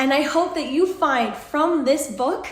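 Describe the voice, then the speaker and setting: A woman speaks in a Canadian accent at a fairly slow pace. Her pitch varies in an ordinary way, and the room echo is audible. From British Columbia, Canada. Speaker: author. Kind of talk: promotional pitch.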